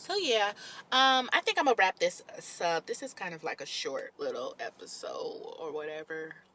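An animated tone from a woman at a moderate pace, amid noticeable background noise. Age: 30s. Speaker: podcaster. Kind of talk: casual monologue.

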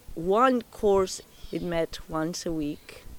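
Speaking with a Spanish accent, a woman keeps a very slow pace. Her pitch varies in an ordinary way. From Spain, Bilbao. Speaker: interviewee giving house tour. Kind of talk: casual interview. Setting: at home.

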